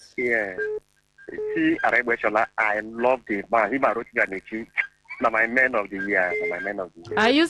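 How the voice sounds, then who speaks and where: In a normal speaking voice, the speaker keeps a moderate pace and fairly even intonation, with big swings in loudness and a dry, close sound with no echo. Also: man, medium pitch for a man. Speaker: radio call-in caller. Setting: phone.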